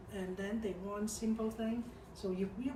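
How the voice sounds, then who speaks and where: A woman with a medium pitch speaks at a fairly slow pace, with audible room echo and noticeable background noise. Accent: Hong Kong. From Hong Kong. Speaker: company expert on Hong Kong market. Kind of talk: corporate video presentation.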